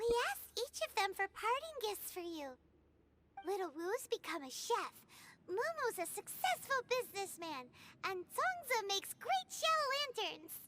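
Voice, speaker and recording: A put-on character voice pitched extremely high. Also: moderate pace. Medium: video game. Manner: lively, frank.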